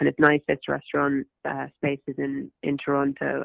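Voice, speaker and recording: A woman speaks with a London accent. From West London, England. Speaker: actress. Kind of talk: interview answer.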